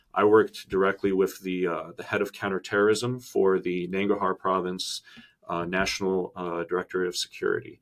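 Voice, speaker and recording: Speaking at a fairly quick pace in a monotone, flat delivery, a man with a very deep, low pitch comes through on a very clean recording with a silent background. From Boston, US. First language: Russian. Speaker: Army veteran and MBA student. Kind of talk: interview. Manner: hesitant, many fillers.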